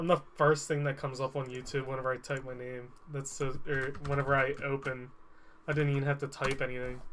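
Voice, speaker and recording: Fairly high in pitch and fairly quick, a man speaks in a monotone, flat way. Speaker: video game streamer. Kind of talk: casual live stream chat. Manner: loud.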